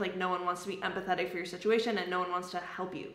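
A woman speaks at a very fast pace with audible room echo. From Canada. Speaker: YouTuber. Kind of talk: casual chat. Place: home room. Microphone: camera far.

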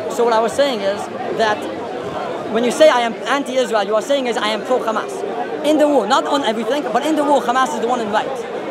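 A man rattles off his words very fast while loud noise fills the background. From Israel. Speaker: member of the public. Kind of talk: heated debate. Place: open country. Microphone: handheld.

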